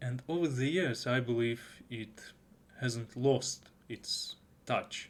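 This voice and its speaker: This man speaks very slowly with a Russian accent. His pitch is medium and his intonation fairly even. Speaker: anime reviewer. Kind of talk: video review. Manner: halting.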